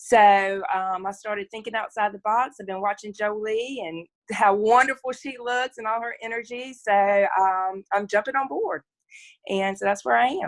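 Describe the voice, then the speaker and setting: A woman with a Southern US accent speaks at a moderate pace, with ordinary pitch variation and big swings in loudness. The sound is dry and close, with no echo. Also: fairly high pitch for a woman, quiet background. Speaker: challenge participant. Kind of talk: casual chat.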